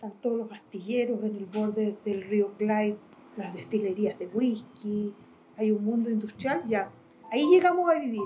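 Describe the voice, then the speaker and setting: Noticeable background noise runs beneath speech delivered at a medium speed. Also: woman, fairly high pitch for a woman, ordinary pitch variation. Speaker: interviewee in documentary, exiled with the subject. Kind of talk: documentary interview, recollection.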